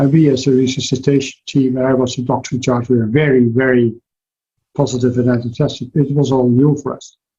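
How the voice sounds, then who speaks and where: A man with a Dutch accent speaks at a fairly quick pace and medium pitch. His tone is dark, mellow and somewhat breathy, and his intonation monotone and flat. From Netherlands. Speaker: cardiologist. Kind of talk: interview. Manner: halting.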